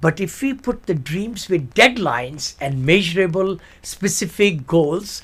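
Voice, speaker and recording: The man speaks fairly slowly. His pitch rises and falls over a very wide range. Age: 70s. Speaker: author and real estate investor. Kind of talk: interview. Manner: animated.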